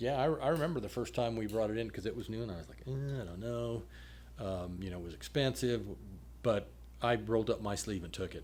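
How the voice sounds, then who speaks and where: The speech moves at a fairly quick pace with ordinary pitch variation and big swings in loudness. Audible room echo surrounds it. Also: man, fairly low pitch for a man. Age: 60s. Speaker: public health official. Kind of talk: podcast conversation.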